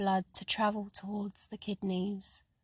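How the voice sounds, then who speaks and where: Very slow, somewhat breathy woman at medium pitch, flat and monotone, in a dry, close sound with no echo. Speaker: guided running and mindfulness leader, psychotherapist. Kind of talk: guided meditation audio for running. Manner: calm, soothing, slow.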